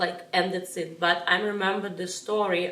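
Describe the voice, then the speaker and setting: A woman with a Russian accent talks at medium pitch and a fairly slow pace. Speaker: ballroom dance teacher. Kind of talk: interview. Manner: halting.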